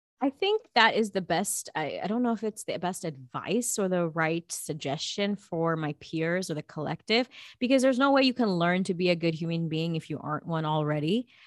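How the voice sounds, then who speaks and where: A normal speaking voice with lively intonation moves at a moderate pace with hardly any pauses, in a very clean recording with a silent background and a dry, close sound with no echo. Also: woman, fairly low pitch for a woman. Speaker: actress and producer. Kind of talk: casual interview chat.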